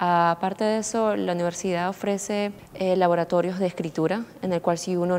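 With light background noise behind her, a woman speaks in an unremarkable speaking voice at fairly low pitch and with fairly even intonation. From Peru. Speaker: international college student. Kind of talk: interview. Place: studio. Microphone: lapel.

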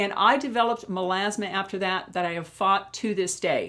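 Her intonation is lively as this woman talks at a moderate pace. The background is quiet. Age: 60s. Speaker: beauty YouTuber. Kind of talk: vlog tutorial. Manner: warm, friendly. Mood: candid, personal, calm. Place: home room.

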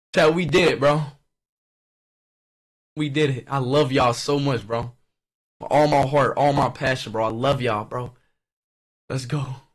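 Against a quiet background, a somewhat breathy man speaks at a moderate pace with fairly even intonation and long, frequent pauses. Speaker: livestreamer. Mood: celebratory, emotional. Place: home room. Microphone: studio mic.

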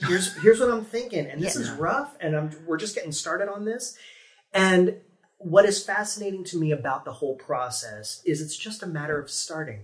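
A man with an American accent talks at a very fast pace and a high pitch. His pitch swings very widely, and his loudness swings a lot. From Ohio. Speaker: theme park performer; guest. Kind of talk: casual interview; interview answer. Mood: animated, friendly storytelling. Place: meeting room.

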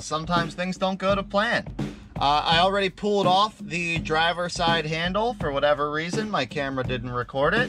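Over clear background music, a man talks at a moderate pace and high pitch. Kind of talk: tutorial. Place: street. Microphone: camera far.

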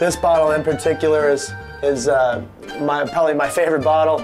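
Clear music plays behind a man speaking at a moderate pace. His pitch varies in an ordinary way. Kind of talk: casual tour. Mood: cheerful, proud. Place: home room.

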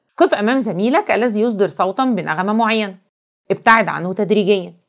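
An animated tone with an Egyptian accent comes through against a quiet background. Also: woman. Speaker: teacher. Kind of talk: lecture.

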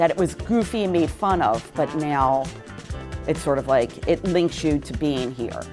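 Her voice very deep and low, a woman with a Philadelphia accent talks over clear music in the background. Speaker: interviewee, local resident. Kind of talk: interview answer. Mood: animated, amused storytelling. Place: meeting room.

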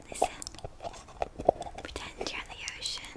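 A woman is whispering at a moderate pace. She is soft-spoken. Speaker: roleplay host. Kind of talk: soft roleplay talk to the viewer. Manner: soft intimate ASMR whisper. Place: home room. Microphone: phone near.

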